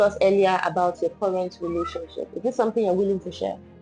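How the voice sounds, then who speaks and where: Over music in the background, a woman talks at a medium pitch with lively intonation. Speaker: podcast host. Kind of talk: interview question.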